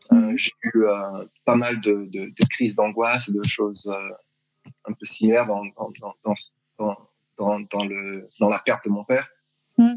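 A man's fairly low voice in a monotone with flat intonation, very slow in pace, with a dry, close sound and no echo. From France, Strasbourg (Alsace). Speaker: athletics coach. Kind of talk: interview. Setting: video call. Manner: halting.

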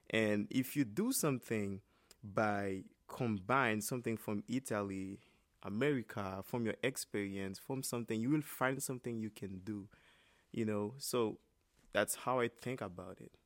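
In a Haitian accent, a man speaks at a moderate pace and a fairly low pitch with ordinary pitch variation. The recording is very clean, dry and close, with no echo and a silent background. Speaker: trumpet player. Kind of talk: interview. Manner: halting.

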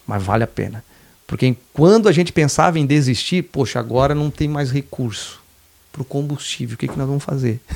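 A man speaks in a normal speaking voice at a fairly high pitch. His pace is fairly quick and his pitch varies in an ordinary way. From southern Santa Catarina, Brazil (Laguna). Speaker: state legislator. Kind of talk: podcast interview.

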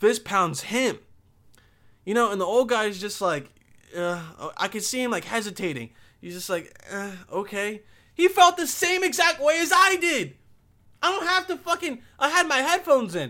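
With an American accent, a man speaks in a raised, projected voice that is extremely high-pitched, bright and sharp, with an animated tone, very wide pitch swings, big shifts in loudness, and long, frequent pauses. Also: moderate pace. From Bosnia. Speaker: podcast host. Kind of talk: casual comedic rant with ad read. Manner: animated, profane, rambling.

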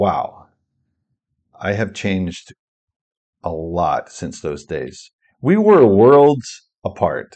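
A man with an American accent at a very slow pace, long and frequent pauses, and a quiet background. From rural Pennsylvania, US. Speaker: podcast host and author. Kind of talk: solo podcast monologue. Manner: occasional hesitations and repetitions.

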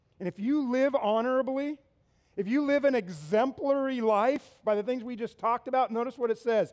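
A man's high-pitched voice, animated in tone. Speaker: pastor. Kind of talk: sermon. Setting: church with live audience. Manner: animated, conversational.

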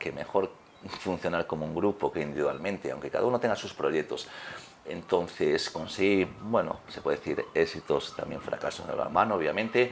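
A man talks at a moderate speed while background noise is clearly noticeable. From Galicia, Spain. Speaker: fitness trainer and former handball player. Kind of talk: interview.

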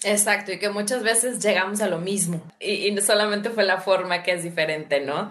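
Amid audible room echo and noticeable background noise, a woman with a medium pitch speaks at a fairly quick pace with fairly even intonation and hardly any pauses. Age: 40s. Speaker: habit-change coach and podcaster. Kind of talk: casual conversation on a livestream.

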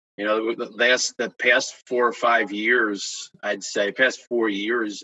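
Speaking with an American accent, the man has a medium-pitched voice. His intonation is monotone and flat. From Kingston, New York, US. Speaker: high school track coach and PE teacher. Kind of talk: casual interview chat.

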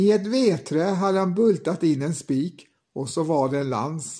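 On a very clean recording with a silent background, a man speaks with a fairly high pitch, ordinary pitch variation and a dark, mellow tone. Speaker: podcast host and storyteller. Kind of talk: fairy-tale audiobook narration. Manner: measured, unhurried narrator.

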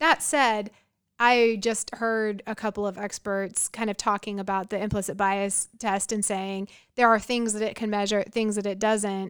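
A woman speaks at a moderate pace and medium pitch in a monotone with flat intonation on a very clean recording with a silent background. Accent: American. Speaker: history professor; college professor. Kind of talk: casual conversational podcast discussion on race and history.

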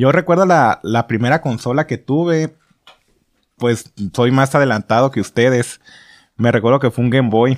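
Medium-pitched male speech at a moderate pace, with very even loudness, ordinary pitch variation, long and frequent pauses, and a dry, close sound with no echo on a very clean recording with a silent background. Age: 20s. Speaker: podcast host. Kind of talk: casual chat. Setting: friend's home.

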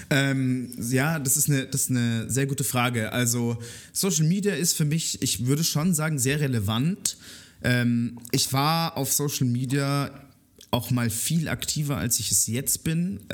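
A man at a medium pitch, fairly slow pace and ordinary pitch variation. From Germany, Munich (Bavaria). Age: 20s. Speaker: music journalist and radio/podcast host. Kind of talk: casual interview chat. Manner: hesitant, many fillers and repetitions.

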